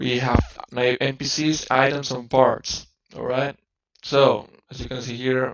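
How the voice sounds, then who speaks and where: Speaking at a very slow pace, a man with a non-native accent uses a medium pitch and ordinary pitch variation. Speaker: game developer. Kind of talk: tutorial. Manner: halting, many fillers and restarts.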